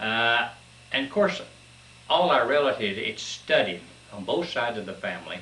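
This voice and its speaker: With an Appalachian accent, a man speaks at a medium pitch, his intonation lively and his loudness swinging widely, with long, frequent pauses. The room echo is audible and the background noise noticeable. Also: moderate pace. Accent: Appalachian Kentucky. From Kentucky, Cumberland Gap. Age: 70s. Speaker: interviewee recounting his life. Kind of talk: oral history interview. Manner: halting, many fillers.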